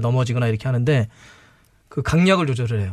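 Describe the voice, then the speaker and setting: A man talks very fast. Nothing else can be heard behind him. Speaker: football commentator. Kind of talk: studio discussion. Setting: studio.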